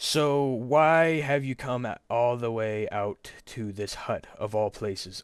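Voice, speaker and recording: A put-on character voice at a fairly slow pace, on a very clean recording with a silent background. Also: man, medium pitch for a man. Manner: gruff, monstrous.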